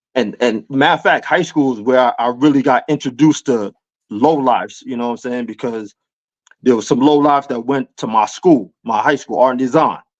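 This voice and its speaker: With a slight New York accent, a man talks at a fairly quick pace and medium pitch, using ordinary pitch variation. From New York City (Queens). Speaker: hip hop culture guest. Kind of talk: casual chat.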